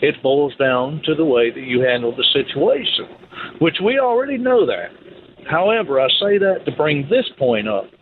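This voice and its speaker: Over noticeable background noise, a man with an American accent and a fairly high pitch speaks at a moderate pace, his pitch swinging very widely. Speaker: caller. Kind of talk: call-in conversation. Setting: phone call.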